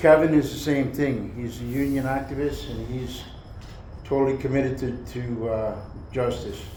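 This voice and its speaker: Over noticeable background noise and audible room echo, a man speaks fairly slowly at medium pitch with fairly even intonation. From Canada, Mohawk nation. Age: 60s. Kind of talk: talk to a university class. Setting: university classroom. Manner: repetitive, halting.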